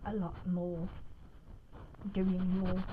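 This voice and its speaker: Somewhat breathy, this female speaker's voice has a dark, mellow tone. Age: 60s. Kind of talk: casual talk to camera. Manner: calm, gentle.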